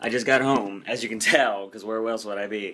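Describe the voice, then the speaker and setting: An animated male voice at medium pitch. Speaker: vlogger. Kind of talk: casual vlog monologue. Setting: at home. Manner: rambling, animated.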